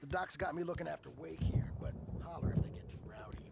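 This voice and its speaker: A man does a raspy, put-on character voice at a very fast pace, with big swings in loudness. Loud background noise sits behind him. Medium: video game. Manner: casual, folksy.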